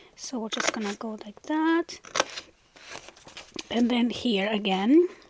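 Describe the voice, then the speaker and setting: A woman with a fairly high pitch and lively intonation speaks at a very slow pace, her loudness swinging widely over noticeable background noise. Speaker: crafting channel host. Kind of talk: tutorial. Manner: casual, instructive.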